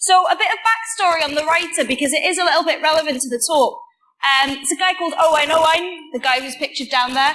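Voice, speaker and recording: Projecting loudly, a woman speaks at a very fast pace in an extremely high, bright and sharp voice with lively intonation. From Wales. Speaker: computer science student. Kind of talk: conference talk. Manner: casual, with many fillers.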